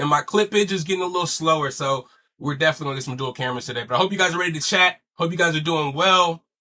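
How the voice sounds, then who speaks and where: Bright and sharp in tone, a man with a fairly high pitch talks at a very fast pace with ordinary pitch variation. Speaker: podcast host. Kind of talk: casual chat. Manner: louder than last episode.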